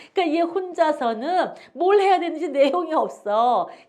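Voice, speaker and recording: Ordinary pitch variation with audible room echo. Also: woman. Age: old. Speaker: English teacher and pastor. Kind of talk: casual chat; lecture.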